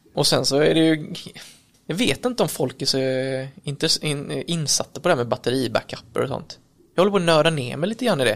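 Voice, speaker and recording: Noticeable background noise runs behind a man with a fairly high pitch. He talks at a fairly quick pace with lively intonation. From Kalmar, Sweden. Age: 30s. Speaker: electrician and business owner. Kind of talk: casual interview. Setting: recorded on location at an office.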